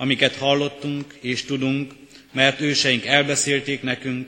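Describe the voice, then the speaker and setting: In a monotone, flat intonation, a man talks at a very slow pace with a medium pitch. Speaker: scripture reader. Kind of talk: reading aloud. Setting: church.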